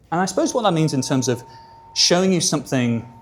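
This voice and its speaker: A man talks very fast in a fairly high voice, his pitch swinging very widely over noticeable background noise. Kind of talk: conversational, informal. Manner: calm, soothing.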